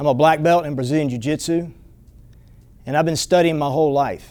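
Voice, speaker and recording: The intonation stays fairly even. A man speaks in a fairly high pitch. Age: 60s. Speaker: martial arts instructor. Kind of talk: promotional pitch.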